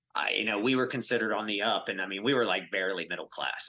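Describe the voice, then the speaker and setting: With a bright, sharp tone and ordinary pitch variation, a man talks at a very fast pace. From US South, inner-city Atlanta. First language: Spanish. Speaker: mortgage company CEO. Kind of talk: podcast interview.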